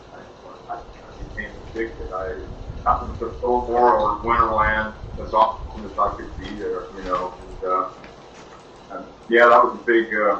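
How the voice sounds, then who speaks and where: Amid noticeable background noise and audible room echo, a man with an American accent speaks at a fairly slow pace with long, frequent pauses. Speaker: blues musician. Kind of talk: interview.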